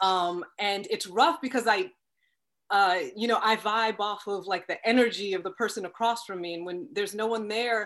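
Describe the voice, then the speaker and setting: A woman with an American accent speaks in a normal speaking voice at medium pitch and a moderate pace. Her pitch varies in an ordinary way over a quiet background. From Long Island, New York. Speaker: actress. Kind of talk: interview.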